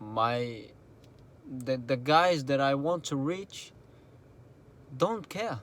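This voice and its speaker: A man with a non-native accent at a fairly high pitch, with lively intonation and a very slow pace. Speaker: entrepreneur vlogger. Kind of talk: motivational vlog talk. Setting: in a car at night.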